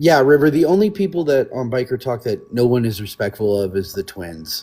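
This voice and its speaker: A man speaks at a fairly quick pace, his medium pitch swinging very widely. His tone is dark and mellow, somewhat breathy. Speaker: biker club member. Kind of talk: casual chat. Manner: careful, measured wording.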